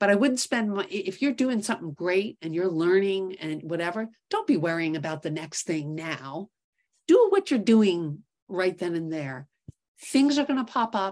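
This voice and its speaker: This woman has a normal speaking voice at a medium pitch. She speaks at a moderate pace with lively intonation. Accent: American. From New York City. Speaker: investment executive, startup co-founder. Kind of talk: interview.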